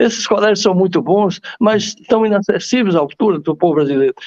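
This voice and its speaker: Recorded dry and close with no echo, a man talks in a high pitch with lively intonation. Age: 80s+. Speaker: TV talk show host. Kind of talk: interview conversation. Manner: halting, many repetitions.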